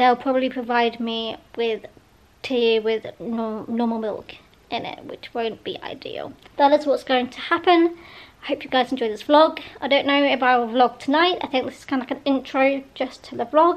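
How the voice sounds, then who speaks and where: High-pitched, a woman speaks at a moderate pace with ordinary pitch variation. Her loudness swings a lot. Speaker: vlogger. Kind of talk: casual vlog chat. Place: home room. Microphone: phone near.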